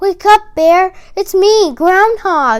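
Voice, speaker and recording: A woman squeaks in a put-on character voice pitched extremely high. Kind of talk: bedtime story. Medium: read story.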